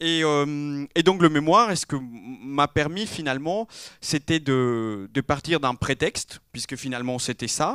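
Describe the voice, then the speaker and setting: At a fairly slow pace and with ordinary pitch variation, the voice comes through a very clean recording with a silent background and a dry, close sound with no echo. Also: man. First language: not French (speaking French). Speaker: interior architecture graduate. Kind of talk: round table talk. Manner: halting, many fillers.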